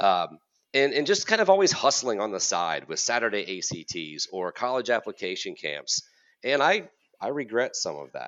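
A man's voice with vocal fry and very wide pitch swings, at a moderate pace. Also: medium pitch for a man. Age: 40s. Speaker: college counselor and podcast host. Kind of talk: casual chat.

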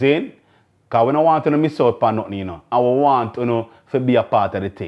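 With a Jamaican accent, a man of medium pitch talks at a fairly quick pace with lively intonation. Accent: Jamaican Patois-inflected English. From Jamaica, Kingston. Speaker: podcast host. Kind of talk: casual solo talk to camera.

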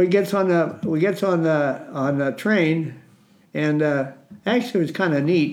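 Audible room echo surrounds a man with an Upper Midwest accent and a fairly high pitch. He talks at a moderate pace with very even loudness and ordinary pitch variation. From Minnesota. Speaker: war veteran. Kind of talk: testimony. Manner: halting.

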